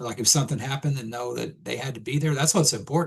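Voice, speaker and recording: A medium-pitched male voice with vocal fry and ordinary pitch variation. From Texas. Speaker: podcast guest. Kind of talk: casual chat.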